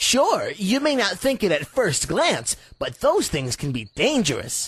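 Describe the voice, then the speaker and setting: A man's cartoonish character voice, high-pitched, at a fairly slow pace. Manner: eager, goofy.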